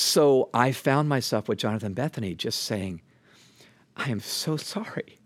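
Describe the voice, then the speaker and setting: Talking at a fairly slow pace, a man with an ordinary speaking voice uses a medium pitch and lively intonation in a very clean recording with a silent background. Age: 60s. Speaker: author and leadership speaker. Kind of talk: casual interview conversation.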